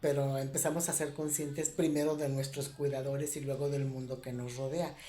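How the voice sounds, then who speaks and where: Audible room echo surrounds a woman whose voice sits at a very deep, low pitch. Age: 60s. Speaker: spiritual reflection vlogger. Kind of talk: reflective monologue. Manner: hesitant, with fillers.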